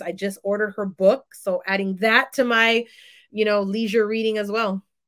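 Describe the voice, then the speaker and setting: Moderate-paced speech from a woman with an American accent. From San Francisco Bay Area, California. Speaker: doctoral student and educator. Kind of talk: casual interview conversation.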